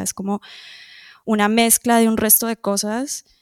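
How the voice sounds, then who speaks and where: A woman speaks at a fairly high pitch and fairly slow pace. The recording is very clean and dry, with a silent background, a close sound and no echo. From Colombia, moved to Toronto at age 10. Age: adult. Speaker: musician. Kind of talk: interview. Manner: hesitant, many fillers.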